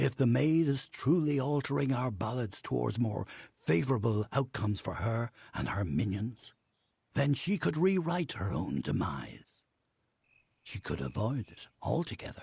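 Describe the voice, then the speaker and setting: Put-on character voice from a man, medium in pitch, at a moderate pace. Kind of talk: fantasy narration. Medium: video game. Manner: grave, formal.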